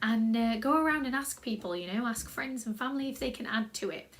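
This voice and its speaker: The woman's voice is fairly high in pitch, with a South Yorkshire accent. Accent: own South Yorkshire accent, loves it. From South Yorkshire, England. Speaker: creative writing workshop leader. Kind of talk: tutorial. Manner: casual, upbeat.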